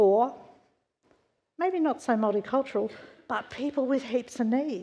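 In an Australian accent, a woman speaks at a fairly slow pace with a high pitch. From Australia, western Sydney. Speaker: church member sharing testimony; preacher. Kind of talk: testimony. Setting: church. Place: church.

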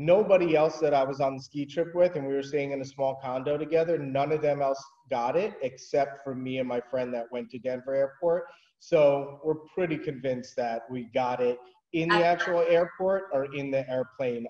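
A man speaks at a moderate pace, with ordinary pitch variation and a quiet background. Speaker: remote interview guest. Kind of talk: interview answer. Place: home room. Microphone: video call.

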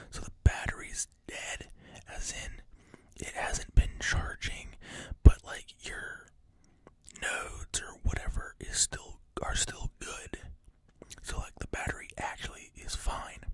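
Whispering at a very slow pace with long, frequent pauses and big swings in loudness, a man is heard against a quiet background in dry sound with no echo. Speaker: vlogger. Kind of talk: casual storytelling vlog chat. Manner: close whispered storytelling. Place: home room. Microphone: studio mic.

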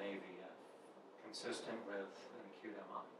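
A man talks at a fairly slow pace with audible room echo and noticeable background noise. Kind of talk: medical dictation role-play. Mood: calm, matter-of-fact.

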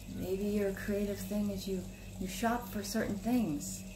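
A woman speaks at medium pitch and a fairly slow pace with fairly even intonation, and background noise is clearly audible.

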